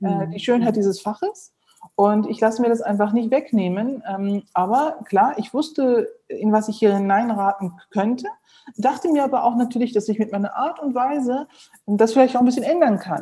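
Here a woman speaks with a fairly high pitch and a dark, mellow tone that is somewhat breathy. Her pace is moderate, with ordinary pitch variation. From Germany, Neuss (Rhineland). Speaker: heart surgeon. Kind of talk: interview.

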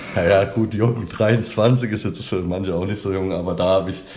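The voice moves at a moderate pace with fairly even intonation, and audible room echo surrounds it. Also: man. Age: 30s. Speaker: language coach trainee. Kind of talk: interview.

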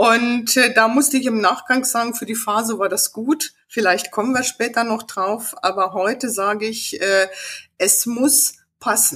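Fairly slow speech with ordinary pitch variation. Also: woman, fairly high pitch for a woman. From rural upbringing on a farm. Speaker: business owner and image consultant. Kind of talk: casual interview. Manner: animated, passionate.

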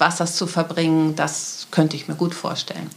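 There is noticeable background noise. A woman speaks at a fairly low pitch. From Lüneburg, northern Germany. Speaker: city centre manager. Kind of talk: interview.

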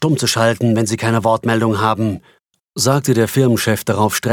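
Someone reads in a natural voice over a quiet background. The intonation stays fairly even.

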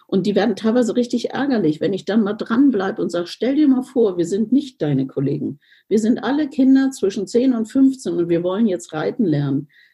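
A woman talks at a fairly quick pace with hardly any pauses, her fairly high, somewhat breathy voice dark and mellow in tone and swinging very widely in pitch. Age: 60s. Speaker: riding instructor. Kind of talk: interview.

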